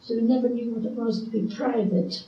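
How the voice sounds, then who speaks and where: A fairly quick-paced woman's voice in an English accent. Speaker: retired midwife. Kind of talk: oral history interview answer.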